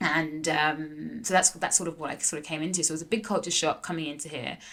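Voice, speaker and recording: A woman speaks with a London accent at a fairly low pitch. Her tone is bright and sharp. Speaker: entrepreneur, former pro tennis player. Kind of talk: casual interview. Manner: animated, lots of fillers.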